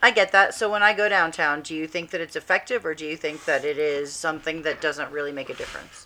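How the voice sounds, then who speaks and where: A woman's bright, sharp tone at a fairly low pitch, very fast pace, big swings in loudness and ordinary pitch variation. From military family abroad, UK and Italy. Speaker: comedian. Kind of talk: casual chat.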